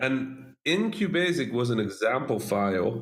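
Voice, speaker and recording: A man talks with a Dutch accent. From Netherlands, Dutch-Egyptian family. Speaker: game developer. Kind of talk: interview.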